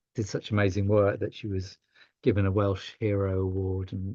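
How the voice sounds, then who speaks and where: The voice is somewhat breathy, with monotone, flat intonation. It moves at a moderate pace. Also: man. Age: 60s. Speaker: yoga teacher and charity leader. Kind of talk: podcast interview. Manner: halting.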